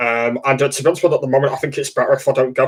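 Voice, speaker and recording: The speaker is a man with an English accent. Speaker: livestreamer. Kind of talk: casual livestream chat. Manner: halting, many fillers.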